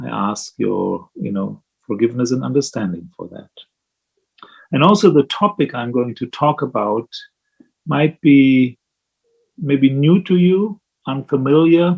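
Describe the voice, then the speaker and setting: Talking at a fairly slow pace with long, frequent pauses, a man in a German accent uses a fairly high pitch, very wide pitch swings and big swings in loudness. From Germany. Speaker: Buddhist monk. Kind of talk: dharma talk. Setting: video call.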